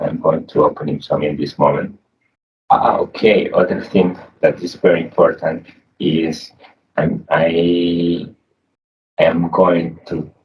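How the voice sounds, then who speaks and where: A man with a Spanish accent talks at a fairly slow pace, with long, frequent pauses. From Colombia. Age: young. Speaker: programming tutorial youtuber. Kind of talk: screen-share tutorial. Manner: halting, repeats words.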